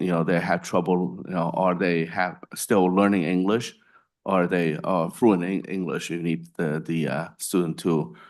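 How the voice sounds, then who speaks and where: A man with a non-native accent speaks at a very deep, low pitch and a fairly slow pace. His intonation is fairly even, over a quiet background. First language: not English. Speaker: legislator on commission. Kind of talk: committee hearing comment. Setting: public commission meeting.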